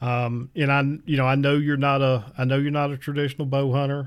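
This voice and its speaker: Pitched in the medium range, this man has an ordinary speaking voice. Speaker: podcast host. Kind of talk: interview.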